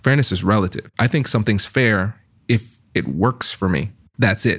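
A man with a medium-pitched voice speaks with lively intonation on a very clean recording with a silent background. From Tiffin, Ohio (Caribbean American family). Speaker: negotiation expert and author. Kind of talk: podcast interview.

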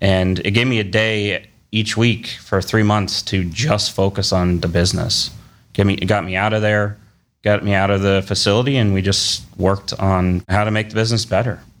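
A man talks with an American accent in a monotone, flat intonation. His pitch is fairly low and his loudness very even. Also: moderate pace, very clean recording, silent background. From Cleveland, Ohio. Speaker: food business co-owner. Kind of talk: casual interview chat.

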